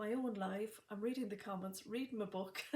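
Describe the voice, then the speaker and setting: A soft-spoken woman talks at a fairly high pitch. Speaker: sewing box shop owner and live stream host. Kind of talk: live stream chat. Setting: livestream. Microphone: may be too quiet.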